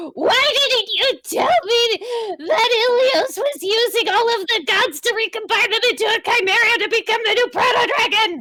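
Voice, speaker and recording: A woman shouts in a put-on character voice at an extremely high pitch, with ordinary pitch variation. Her moderate pace leaves hardly any pauses, and her loudness stays very even. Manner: shouting.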